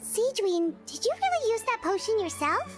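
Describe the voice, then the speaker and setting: Clear music plays behind a woman whose squeaky voice sits at an extremely high pitch, with lively intonation at a moderate pace. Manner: surprised, curious.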